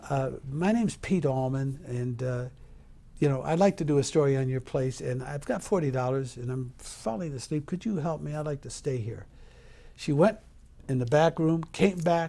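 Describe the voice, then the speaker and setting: In a very clean recording with a silent background, a man with a fairly high pitch and a dark, mellow, somewhat breathy tone talks at a moderate pace, with ordinary pitch variation. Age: 70s. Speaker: entertainer and interviewer. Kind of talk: casual interview chat.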